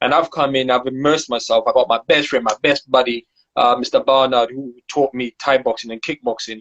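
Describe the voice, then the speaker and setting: Here a man talks at a fairly quick pace. His intonation is flat and monotone. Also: medium pitch for a man. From Zimbabwe. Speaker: martial arts teacher. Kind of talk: podcast interview.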